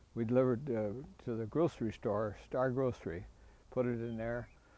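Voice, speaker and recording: With an Upper Midwest accent, a man speaks at a medium pitch in a dark, mellow tone with fairly even intonation. The recording is very clean, with a silent background. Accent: Upper Midwest (Minnesota). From Minnesota, Fergus Falls. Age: 80s+. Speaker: retired farmer and anniversary celebrant. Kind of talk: casual reminiscence tour. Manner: halting with many fillers.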